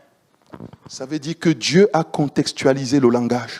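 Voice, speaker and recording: The speaker is a man with a medium pitch. He talks at a very slow pace. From Central Africa. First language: Banana (Chadic language) (speaking French). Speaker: preacher. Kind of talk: sermon. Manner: animated.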